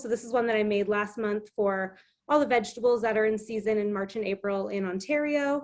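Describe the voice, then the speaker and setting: A woman in an unremarkable speaking voice, fairly high-pitched, with a Canadian accent and ordinary pitch variation. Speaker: illustrator and craft instructor. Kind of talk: online craft demonstration.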